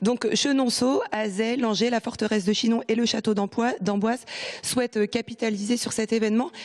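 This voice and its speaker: A woman's fairly high voice with fairly even intonation, a dry, close sound with no echo, and noticeable background noise. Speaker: TV reporter. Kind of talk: live report. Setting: on location indoors.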